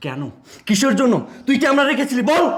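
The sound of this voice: A man's put-on character voice, fast and extremely high, with big pitch swings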